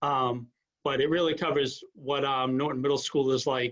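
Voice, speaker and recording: Ordinary pitch variation at a moderate pace, in a normal speaking voice. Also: man. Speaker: school principal. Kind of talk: presentation to parents.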